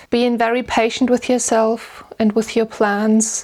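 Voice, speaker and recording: A woman speaks with a German accent. Her pitch is fairly high and her pace moderate. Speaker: vlogger and musician. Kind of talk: casual Q&A.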